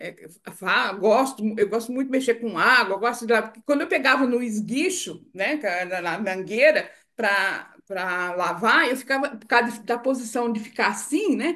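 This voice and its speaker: Her voice is fairly high and bright, sharp in tone, as the woman speaks at a fairly slow pace with lively intonation and big swings in loudness. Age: 70s. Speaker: testimonial giver. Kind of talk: testimony.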